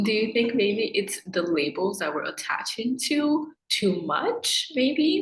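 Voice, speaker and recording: Speaking at a very slow pace with hardly any pauses, a woman uses a fairly high pitch and very wide pitch swings. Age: 30s. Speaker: podcast co-host. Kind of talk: casual chat.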